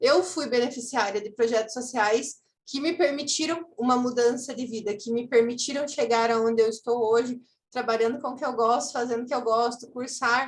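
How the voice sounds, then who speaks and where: Using a high pitch with ordinary pitch variation, a woman speaks at a moderate pace. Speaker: social impact consultant. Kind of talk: webinar presentation.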